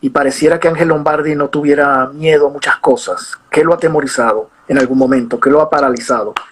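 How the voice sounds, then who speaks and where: A man's plain, everyday voice, fairly high in pitch with ordinary pitch variation, at a fairly quick pace with hardly any pauses and very even loudness. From Venezuela. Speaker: interviewer, show host. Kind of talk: interview.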